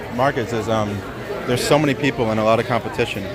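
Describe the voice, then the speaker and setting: Over crowd noise and audible room echo, a man with an American accent and a medium pitch speaks at a very fast pace. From Central Pennsylvania. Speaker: traveling journalist. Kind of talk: casual on-the-street interview. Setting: outdoor farmers market, livestream. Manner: casual with many filler words.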